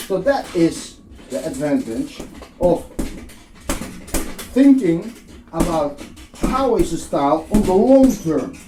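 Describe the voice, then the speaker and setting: A man's high voice with very wide pitch swings, very slow delivery and long, frequent pauses, over noticeable background noise. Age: 60s. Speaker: boxing instructor. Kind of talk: tutorial.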